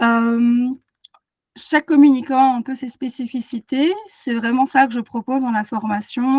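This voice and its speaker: The woman's voice sits fairly high. The sound is dry and close, with no echo. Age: 30s. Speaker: animal communicator and energy therapist. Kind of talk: webinar presentation. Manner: hesitant, many fillers.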